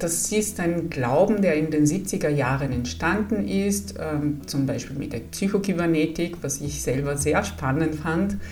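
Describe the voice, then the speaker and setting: A woman with an Italian accent speaks at a fairly slow pace in a very deep, low voice with very wide pitch swings, amid noticeable background noise and audible room echo. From Italy. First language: Italian (speaking German). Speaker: psychologist. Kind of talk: podcast introduction monologue.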